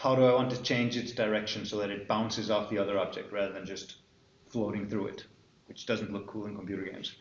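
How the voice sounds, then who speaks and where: A man with an Icelandic accent speaks in fairly even intonation, with audible room echo. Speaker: university lecturer. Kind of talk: lecture. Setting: classroom with students.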